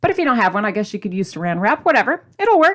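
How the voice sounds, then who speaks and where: A woman talks at a very fast pace. Her voice makes very wide pitch swings. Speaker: cooking and diet channel host. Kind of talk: tutorial. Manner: casual, chatty.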